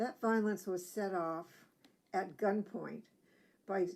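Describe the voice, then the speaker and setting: A woman speaks at a fairly slow pace with a medium pitch and a dark, mellow tone. Her intonation stays fairly even. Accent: American. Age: 70s. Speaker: activist speaker. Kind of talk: testimony.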